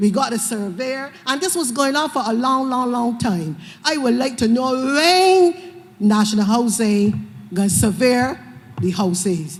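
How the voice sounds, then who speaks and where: Speaking in a Barbadian accent, a woman talks at a fairly slow pace with a high pitch and very wide pitch swings. Audible room echo and noticeable background noise surround her voice. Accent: Bajan Creole. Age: 60s. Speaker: resident asking a question. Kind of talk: public question at town hall. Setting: public meeting at a school.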